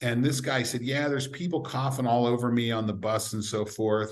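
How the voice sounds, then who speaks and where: Audible room echo surrounds a man talking at a fairly quick pace with an American accent. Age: 60s. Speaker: sport scientist. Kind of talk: podcast interview.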